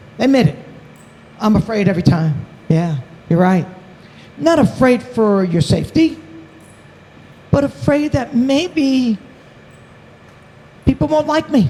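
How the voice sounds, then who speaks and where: Over noticeable background noise, a woman speaks at a fairly slow pace. Her pitch swings very widely, and she takes long, frequent pauses. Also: fairly high pitch for a woman. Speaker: summit program leader. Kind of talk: closing speech to students.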